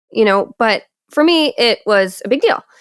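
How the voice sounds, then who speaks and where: A woman with a Michigan accent is heard in a dry, close sound with no echo. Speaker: podcast host. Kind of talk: casual interview chat.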